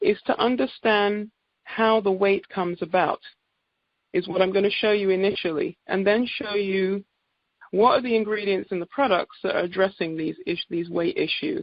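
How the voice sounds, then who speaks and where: A woman's medium-pitched voice in an English accent, at a moderate pace with ordinary pitch variation. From England. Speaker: naturopathic doctor. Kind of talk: sales presentation on a group call. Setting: conference call.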